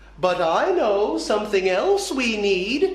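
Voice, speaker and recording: A woman does a put-on character voice at a medium pitch. She talks at a fairly slow pace with a slight echo. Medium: read story. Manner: calm, knowing.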